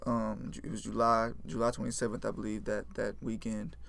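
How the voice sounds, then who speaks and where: Audible room echo surrounds a man talking with an American accent. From Houston, Texas (Fort Bend area). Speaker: musician and entrepreneur. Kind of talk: casual chat.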